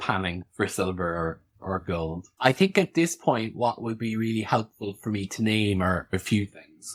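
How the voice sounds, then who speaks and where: A man with an Irish accent talks in a fairly low pitch with hardly any pauses. The recording is very clean, with a silent background. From rural Ireland. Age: 30s. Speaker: podcast host and practitioner. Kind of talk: interview, guest seat.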